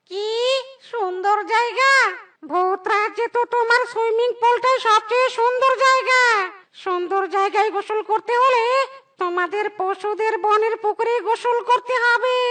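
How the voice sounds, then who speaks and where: At a moderate pace, a cartoonish character voice speaks in an extremely high pitch. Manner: anxious, placating.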